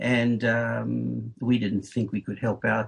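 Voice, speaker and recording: A man with a South African accent at a very slow pace, over noticeable background noise. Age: 70s. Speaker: retired school principal. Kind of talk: interview. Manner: halting.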